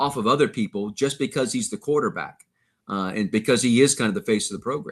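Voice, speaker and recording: A man speaks fairly quickly, with nothing but quiet in the background. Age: 60s. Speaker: sports play-by-play broadcaster. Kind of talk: casual podcast interview.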